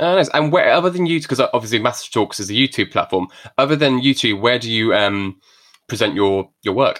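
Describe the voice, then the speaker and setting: Mumbling with an English accent, a man talks at a fairly quick pace with medium pitch and lively intonation. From England. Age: 30s. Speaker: podcast host. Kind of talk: casual interview chat. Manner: fast talker, mumbles.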